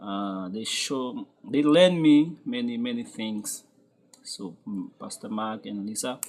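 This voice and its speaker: With a Haitian accent, a man at medium pitch speaks very slowly, with lively intonation and big swings in loudness. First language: Haitian Creole. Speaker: construction foreman. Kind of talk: interview testimony. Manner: halting.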